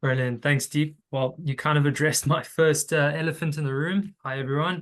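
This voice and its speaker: Against a quiet background, a man speaks at a moderate pace with a South African accent. His pitch is fairly high and his intonation fairly even. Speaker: tax recovery consultant. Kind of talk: webinar presentation.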